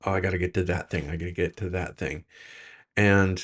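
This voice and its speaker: A man's very deep, low voice. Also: quiet background. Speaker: self-help video creator. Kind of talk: personal reflective monologue. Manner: hesitant, many fillers.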